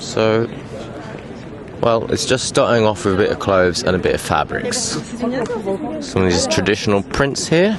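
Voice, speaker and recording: With an English accent, a man speaks in a relaxed tone at a fairly slow pace and very even loudness, over noticeable background noise. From England. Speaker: tour guide. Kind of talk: guided walking tour. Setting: outdoors at a street market. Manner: casual, relaxed.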